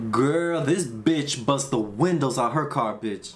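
There is audible echo from the room and noticeable noise behind the voice, whose pitch moves in a typical way. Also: man. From Dominican heritage. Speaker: YouTube movie reactor. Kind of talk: movie reaction commentary. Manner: animated.

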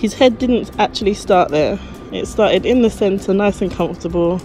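A woman speaks in a dry sound with no echo. Faint music plays in the background. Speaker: family vlogger. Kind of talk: casual vlog chat. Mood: warm, playful. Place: station. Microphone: phone near.

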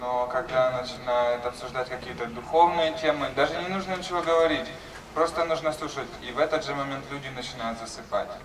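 The speaker talks at a fairly quick pace over noticeable background noise. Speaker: interpreter. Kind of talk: consecutive interpreting of lecture. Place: home room. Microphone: camera far.

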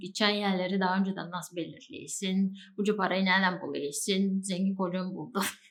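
A woman with a Bulgarian accent speaks at a moderate pace. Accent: Bulgarian Turkish dialect. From Bulgaria, Turkish minority village. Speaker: travel vlogger. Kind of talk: casual talk to camera. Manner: chatty, informal.

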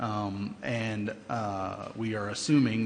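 Fairly low in pitch, a man talks with fairly even intonation amid audible room echo. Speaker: city engineer. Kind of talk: public meeting presentation. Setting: council chamber. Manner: hesitant, many fillers.

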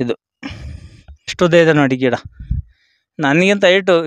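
Against a quiet background, a man talks in a high pitch. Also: dry sound with no echo. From Hassan district, Karnataka; Karnataka, India. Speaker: tomato farmer. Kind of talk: casual field interview. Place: farm. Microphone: handheld.

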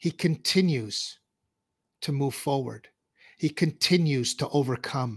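Somewhat breathy, a man talks with fairly high pitch and ordinary pitch variation at a fairly slow pace, with long, frequent pauses over a quiet background. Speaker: show host, coach. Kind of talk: casual livestream interview. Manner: animated. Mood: warm, laughing, casual. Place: home room. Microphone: studio mic.

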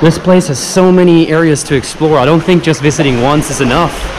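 A woman talks at a moderate speed, her pitch varying in an ordinary way, while noticeable background noise runs underneath. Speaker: travel vlogger. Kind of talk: casual vlog chat. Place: beach. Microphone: phone near.

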